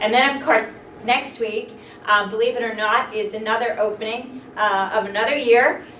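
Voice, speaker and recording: Noticeable background noise sits under the recording. A woman talks at a fairly slow pace with ordinary pitch variation. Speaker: school district administrator. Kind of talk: formal school board meeting.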